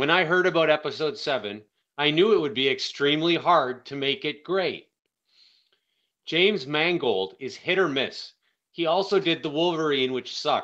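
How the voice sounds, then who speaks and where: Bright and sharp in tone, the voice moves through ordinary pitch variation. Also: man, fairly high pitch for a man, moderate pace, quiet background. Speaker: online video commentator. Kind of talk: casual monologue. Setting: phone recording. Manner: loud. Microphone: phone mic, no proper microphone.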